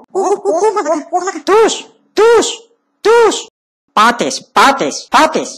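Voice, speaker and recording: In a put-on character voice that is squeaky and extremely high-pitched, the speaker leaves long, frequent pauses. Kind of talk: comic overacting. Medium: fan dub. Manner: loud, taunting.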